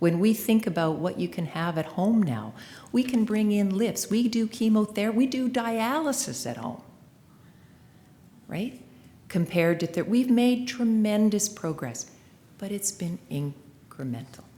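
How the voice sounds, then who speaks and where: A woman with a medium pitch speaks at a fairly slow pace in a dark, mellow, somewhat breathy tone with lively intonation. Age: 60s. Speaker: former seniors' advocate, keynote speaker. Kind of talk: keynote speech.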